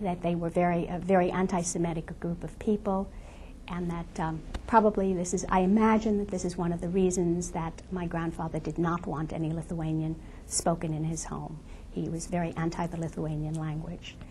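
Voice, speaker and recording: A woman's fairly low, somewhat breathy voice with a dark, mellow tone, flat monotone intonation and a fairly quick pace. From Lithuania. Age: 70s. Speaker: Holocaust survivor. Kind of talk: testimony.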